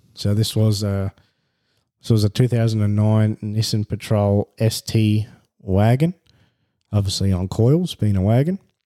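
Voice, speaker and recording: In an Australian accent, a man speaks at a fairly slow pace with long, frequent pauses, a fairly low pitch, ordinary pitch variation, and a dark, mellow tone. His loudness stays very even, and the very clean recording has a silent background and a dry, close sound with no echo. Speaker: podcast host. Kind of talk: solo monologue. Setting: at home. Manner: halting.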